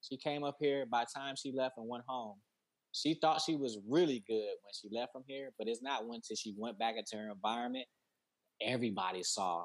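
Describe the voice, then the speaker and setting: A man's medium-pitched, plain, everyday voice with an American accent, fairly quick pace and ordinary pitch variation. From Detroit, Michigan. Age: 40s. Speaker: founder of a mental health business. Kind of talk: casual interview.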